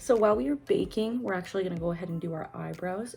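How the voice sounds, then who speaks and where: A woman with a Canadian accent over music in the background. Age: 20s. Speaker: beauty vlogger. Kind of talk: makeup tutorial talk to camera.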